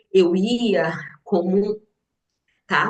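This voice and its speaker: A woman talks in a somewhat breathy voice. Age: 60s. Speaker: businesswoman and teacher sharing health story. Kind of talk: testimony.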